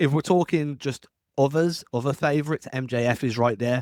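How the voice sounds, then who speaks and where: A man with an English accent, a fairly quick pace, and ordinary pitch variation, in a very clean recording with a silent background. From England. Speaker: wrestling podcaster. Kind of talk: solo podcast commentary. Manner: casual.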